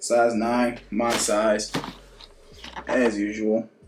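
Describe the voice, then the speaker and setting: A male speaker over noticeable background noise. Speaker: sneaker vlogger. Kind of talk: casual unboxing vlog.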